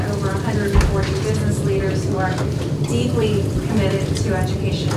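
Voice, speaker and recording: Over loud background noise and audible room echo, a woman speaks with ordinary pitch variation. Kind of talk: testimony presentation.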